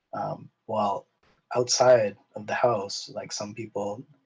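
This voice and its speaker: A man's medium-pitched voice with a Canadian accent. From Canada. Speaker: podcast guest. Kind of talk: casual discussion. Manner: halting, many fillers and repeats.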